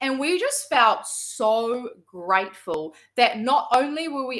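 Against a quiet background, a woman speaks at a very slow pace. Her bright, sharp voice swings very widely in pitch. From New Zealand. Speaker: entrepreneur and former salon owner; guest. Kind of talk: personal testimony. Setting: video call. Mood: warm, grateful storytelling. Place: home room.

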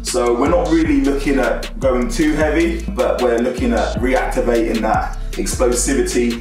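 Clear music plays behind a man's voice. The room echo is audible. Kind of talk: casual vlog chat. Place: gym.

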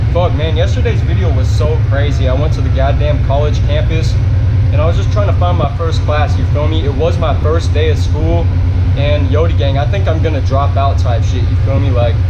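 Loud background noise sits behind the voice. The pace is fairly quick, with ordinary pitch variation. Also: man. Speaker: vlogger. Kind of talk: casual vlog chat. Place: train. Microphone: phone near.

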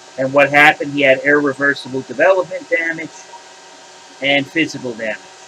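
A man's fairly high-pitched voice at a fairly quick pace, with noticeable background noise. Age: 50s. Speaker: YouTuber. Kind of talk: opinion rant. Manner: animated.

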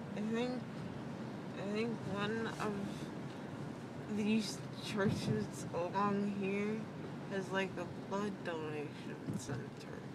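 Loud background noise surrounds a woman's voice, though the sound itself is dry, with no echo. She leaves long, frequent pauses. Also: ordinary pitch variation. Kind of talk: casual rambling chat. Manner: slow, drowsy, numb-mouthed speech. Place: car. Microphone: phone near.

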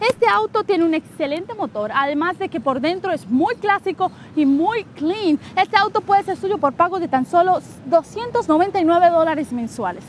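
A woman's extremely high, upbeat voice with very wide pitch swings at a fairly slow pace, dry and echo-free over light background noise. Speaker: car dealership presenter. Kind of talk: infomercial sales pitch. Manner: upbeat, persuasive salesy delivery. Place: street.

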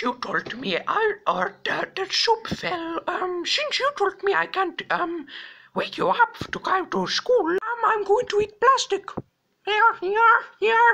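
This put-on character voice has an extremely high pitch. It moves at a fairly slow pace. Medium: comedy sketch. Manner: insistent, whiny.

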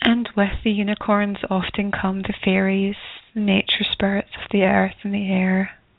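Noticeable background noise sits under a soothing, calm tone delivered with monotone, flat intonation. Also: woman, medium pitch for a woman. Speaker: radio host and spiritual healer. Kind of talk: guided meditation. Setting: radio show. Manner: soft, slow, soothing, calm and breathy-paced guidance with gentle pauses.

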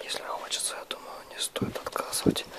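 Moderately paced whispering from a man, with noticeable background noise. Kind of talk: ASMR whisper while assembling a puzzle. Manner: whispered.

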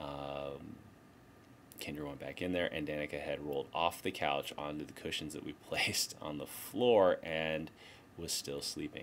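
Over light background noise, a man with a very deep, low pitch speaks at a moderate pace. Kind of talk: casual vlog chat. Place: office. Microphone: webcam.

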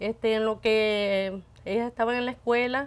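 With a Salvadoran accent, a woman speaks at a fairly slow pace. Her pitch is fairly high and her intonation fairly even. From El Salvador. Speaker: radio station worker. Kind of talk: interview, personal life story. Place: studio.

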